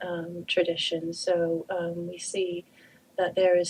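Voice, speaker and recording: A fairly low-pitched woman with a Canadian accent, flat and monotone, over noticeable background noise. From Canada. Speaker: druid priestess and author. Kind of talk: radio interview.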